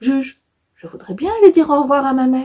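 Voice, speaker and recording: A woman does a high-pitched put-on character voice at a fairly quick pace. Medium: read story.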